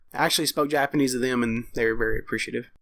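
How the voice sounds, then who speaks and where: A man is speaking. He has a Texas accent. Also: very clean recording, silent background. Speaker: podcast co-host. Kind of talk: casual chat.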